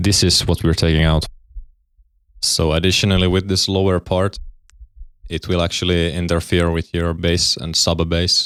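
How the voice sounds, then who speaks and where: On a very clean recording with a silent background, a man with a very deep, low pitch speaks in a monotone, flat way at very even loudness, leaving long, frequent pauses. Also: moderate pace. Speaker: music production tutorial creator. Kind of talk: tutorial. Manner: halting, self-correcting.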